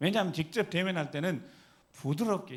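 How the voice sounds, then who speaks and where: This man's high-pitched voice runs at a fairly quick pace and shows ordinary pitch variation. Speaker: pastor. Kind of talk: sermon. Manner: animated, rhetorical questions to congregation.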